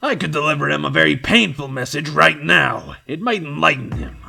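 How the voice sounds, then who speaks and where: Over faint background music, a man does a put-on character voice at a medium pitch and a fairly quick pace. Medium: audio drama. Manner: mocking, aggressive.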